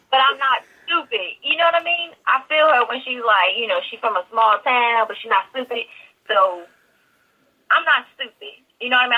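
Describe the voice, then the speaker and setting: A woman's fairly high voice moves with lively intonation. She talks at a fairly quick pace. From New Jersey, Newark. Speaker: actress. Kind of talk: interview. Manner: casual, halting.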